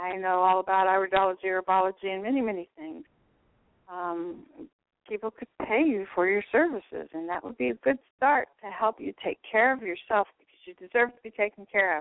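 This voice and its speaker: A woman with an unremarkable speaking voice talks at a fairly quick pace and medium pitch, with lively intonation and big swings in loudness. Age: 60s. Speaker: holistic nurse and card reader. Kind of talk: casual chat.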